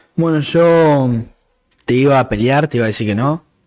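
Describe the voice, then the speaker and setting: A man speaks with a Rioplatense accent. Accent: Argentine Rioplatense Spanish. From Argentina, Santa Fe province (Constitución department). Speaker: podcast co-host. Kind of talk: casual chat.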